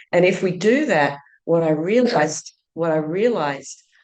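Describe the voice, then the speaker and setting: An Australian accent with ordinary pitch variation. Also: woman. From Australia, Sydney. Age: 60s. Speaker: entrepreneur and teacher. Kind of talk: podcast interview.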